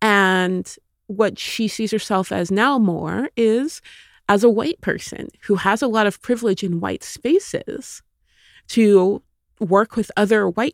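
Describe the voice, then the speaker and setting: A woman with a normal speaking voice talks fairly slowly at a medium pitch, with ordinary pitch variation, in a very clean, dry, close recording with a silent background and no echo. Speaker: author. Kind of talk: interview.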